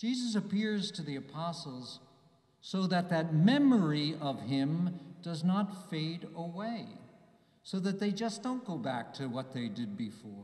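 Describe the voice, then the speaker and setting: A man with an American accent speaks slowly-ish in a high, warm voice with very wide pitch swings. Audible room echo surrounds the fairly slow delivery. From US, New Jersey. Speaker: bishop. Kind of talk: homily at Mass to young people, warm and reflective. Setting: church, Mass with a youth audience. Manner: earnest, personal, gently paced with small hesitations; warm and encouraging, building to a rousing close. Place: church. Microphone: podium.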